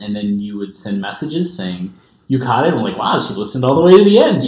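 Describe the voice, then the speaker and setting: Lively intonation marks this man's medium-pitched voice. Noticeable background noise is present. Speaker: podcast co-host. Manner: loud.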